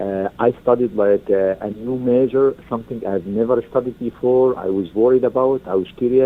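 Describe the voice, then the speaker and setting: A man's medium-pitched voice with an Arabic accent, ordinary pitch variation and hardly any pauses. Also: moderate pace. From Egypt. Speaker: university alumnus. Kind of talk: interview. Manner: halting, many fillers.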